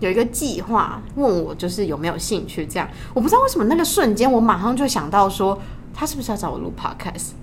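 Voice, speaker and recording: A woman with a Taiwanese accent talks at a very fast pace with lively intonation and a medium pitch, with audible room echo and noticeable background noise. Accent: Taiwanese Mandarin. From Taiwan, Tainan. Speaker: podcast co-host, university student. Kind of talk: casual chat. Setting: university library study room.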